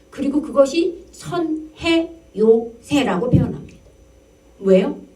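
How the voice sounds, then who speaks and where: A woman's high voice, very slow with very wide pitch swings, amid audible room echo and noticeable background noise. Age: 60s. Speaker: pastor. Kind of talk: sermon. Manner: conversational, rhetorical questions.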